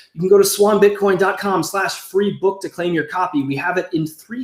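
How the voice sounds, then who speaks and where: There is noticeable background noise as a man speaks in a high voice. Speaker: show host. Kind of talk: casual livestream show intro with promotional pitch. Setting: livestream video show. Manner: fast; animated.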